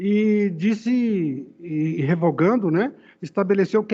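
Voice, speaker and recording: A man's high-pitched voice with lively intonation against a quiet background. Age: 60s. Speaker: judge. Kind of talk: court deliberation. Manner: halting; emphatic.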